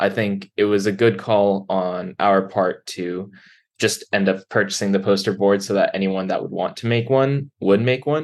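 This is a man with a normal speaking voice at a fairly low pitch. His intonation is fairly even, his pace is moderate, and the background is quiet. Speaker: software engineer and event organizer.

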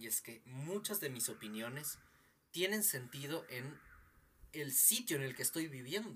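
Fairly high-pitched man, bright and sharp in tone, lively intonation, fairly slow pace. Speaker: podcast co-host. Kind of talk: casual chat. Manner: expressive, tense voice.

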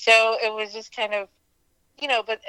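A woman at medium pitch speaks in a bright, sharp tone, the sound dry and close with no echo. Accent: Pittsburgh. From US, western Pennsylvania (near Pittsburgh). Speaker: caregiver sharing family mental illness story. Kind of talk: personal testimony interview. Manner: hesitant, many fillers.

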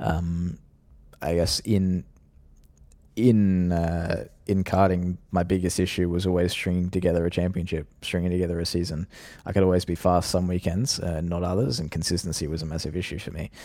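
A man with an Australian accent, very deep and low in pitch, dark and mellow in tone, with fairly even intonation, a moderate pace, and a very clean recording over a silent background. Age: 20s. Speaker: professional sim racer. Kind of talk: interview. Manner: hesitant, many fillers.

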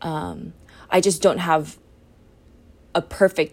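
A woman speaks at a very slow pace. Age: 20s. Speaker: podcaster and student. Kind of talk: personal monologue. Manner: halting.

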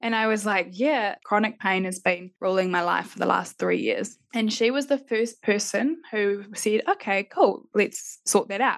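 Fairly slow female speech with a New Zealand accent, fairly high pitch, ordinary pitch variation and hardly any pauses against a quiet background. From Christchurch, New Zealand. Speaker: life coach and NLP practitioner. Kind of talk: interview conversation.

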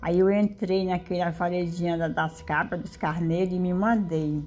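This woman speaks at a fairly slow pace with a fairly low pitch. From Ceará, Brazil. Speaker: storyteller mother. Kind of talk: oral storytelling. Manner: halting.

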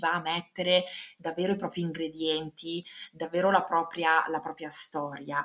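Here a woman talks in a normal speaking voice. Her pitch is fairly low and her pace moderate. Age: 40s. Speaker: career consultant. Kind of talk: interview.

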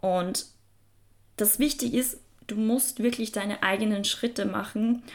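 On a very clean recording with a silent background, a woman with a plain, everyday voice speaks fairly slowly at a fairly high pitch with fairly even intonation. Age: 20s. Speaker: self-help podcast host. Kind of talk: motivational podcast monologue. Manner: casual, filler-heavy.

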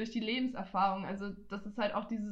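Room echo and noticeable background noise can be heard. A woman speaks at a fairly quick pace and a medium pitch. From Franconia, Germany (Nuremberg). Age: 20s. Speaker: student podcaster. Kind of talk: casual chat.

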